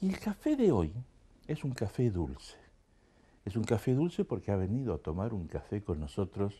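Somewhat breathy and dark, mellow in tone, a man's fairly low voice moves at a moderate pace through very wide pitch swings. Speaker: talk show host. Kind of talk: show opening monologue. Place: studio. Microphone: lapel.

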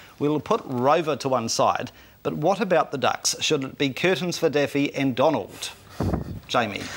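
Over light background noise, a man with a New Zealand accent talks at a moderate pace in a fairly high pitch. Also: ordinary pitch variation. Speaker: TV show host. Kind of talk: TV panel discussion, host moderating. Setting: studio. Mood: jokey, light-hearted. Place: studio. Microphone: lapel.

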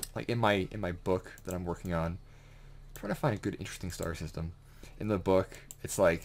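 A man with a very deep, low voice speaks fairly quickly, using ordinary pitch variation and long, frequent pauses. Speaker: gaming video creator and aspiring author. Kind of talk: casual gameplay commentary. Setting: home recording with keyboard and fish tank noise. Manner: rambling, stammering, excited. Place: home room.

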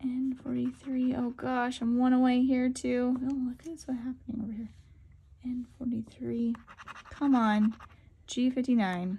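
A woman's high voice has a dark, mellow tone and a sing-song lilt. She speaks very slowly. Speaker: co-host of lottery scratch-ticket channel. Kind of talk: calling out bingo numbers while scratching a ticket, repeating each one several times. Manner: repetitive, sing-song number calling: N31 over and over; excitable, breaking into 'Ooh' and 'Wow' at near-wins. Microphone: phone near.

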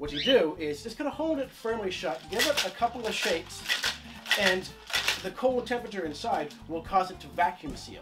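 A man speaks at a moderate pace over loud background noise. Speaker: home bartender host. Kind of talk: tutorial. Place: home room. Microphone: camera far.

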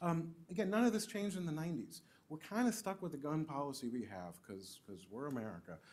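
At a fairly quick pace, a man with a fairly high pitch sweeps through very wide pitch swings. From Trinidad. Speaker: policing scholar. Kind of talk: panel discussion. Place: meeting room. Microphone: studio mic.

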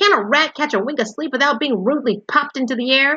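Putting on a character voice, a woman growls at a high pitch and a very fast pace, her voice raised and projected. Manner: growling, irritated.

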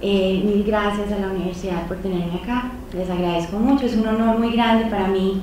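A woman speaks with audible room echo and light background noise around her. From Colombia, Medellín. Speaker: peace studies professor. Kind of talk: lecture. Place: hall.

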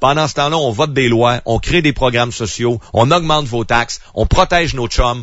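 A man with a Quebec accent speaks in an angry tone with lively intonation. The sound is dry with no echo, and the background is quiet. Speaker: radio commentator. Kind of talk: angry rant. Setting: radio studio. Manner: angry, indignant; fast, emphatic, ranting. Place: studio.

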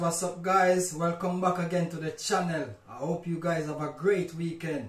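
Audible room echo accompanies speech with fairly even intonation. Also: man.

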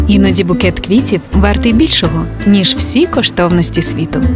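A woman talks at a moderate speed, with clear music behind her. There is no echo, and the sound is dry. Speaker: voice-over actor. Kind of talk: TV commercial read.

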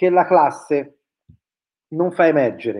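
Very slow delivery from a man, with a quiet background. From Tuscany, near Florence; Tuscany. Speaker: educational technology researcher. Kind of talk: webinar presentation. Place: home room. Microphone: webcam.

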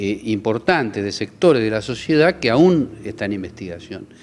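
The man talks at a moderate pace. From Argentina. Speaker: federal judge. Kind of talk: news interview. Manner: measured, with frequent hesitations. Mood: serious, earnest. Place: office. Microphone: handheld.

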